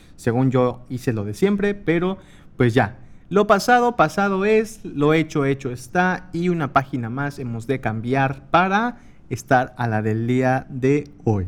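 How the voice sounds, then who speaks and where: Delivered at a fairly slow pace, the speech swings very widely in pitch. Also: man, fairly high pitch for a man. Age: 20s. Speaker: podcast host. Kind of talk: casual monologue. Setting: home desk recording. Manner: animated, laughing.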